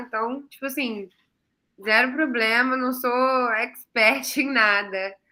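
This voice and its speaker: A woman speaks in a high pitch with a bright, sharp tone. Her voice is raised and projected. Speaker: online class presenter, graduate student. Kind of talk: online class.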